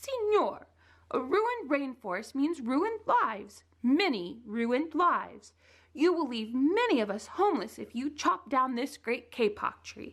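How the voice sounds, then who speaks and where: A woman's put-on character voice, squeaky and high-pitched, at a moderate pace. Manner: pleading, earnest.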